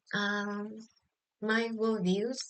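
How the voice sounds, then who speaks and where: Speaking very slowly with a Vietnamese accent, a woman uses a fairly high pitch. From southern Vietnam, Bac Lieu. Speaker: social work student. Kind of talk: class presentation vlog. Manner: halting, many fillers.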